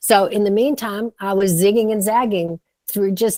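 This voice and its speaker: A woman with an ordinary speaking voice at medium pitch speaks at a moderate pace with ordinary pitch variation. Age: 60s. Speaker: startup advisor and author. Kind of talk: podcast interview. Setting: studio.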